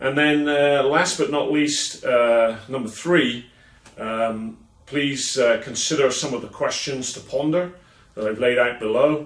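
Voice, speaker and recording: Speaking with an English accent, a man with a fairly high pitch takes a fairly slow pace. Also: ordinary pitch variation. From England. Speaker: keynote speaker and consultant. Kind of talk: promotional video message to event attendees. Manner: hesitant, many filler sounds.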